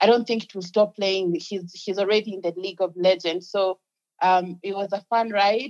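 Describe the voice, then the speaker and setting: At a moderate pace, a woman speaks in an unremarkable speaking voice of medium pitch with fairly even intonation. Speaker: music publicist. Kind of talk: casual chat.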